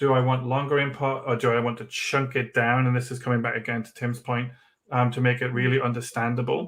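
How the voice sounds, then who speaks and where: A man speaks with a Geordie accent at a fairly quick pace. His intonation is monotone and flat. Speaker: education trainer. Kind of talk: online workshop.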